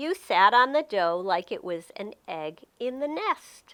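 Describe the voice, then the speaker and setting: A female-sounding voice puts on a character voice at a high pitch. It swings very widely in pitch and moves at a fairly slow pace. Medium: read story. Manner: warm, patient.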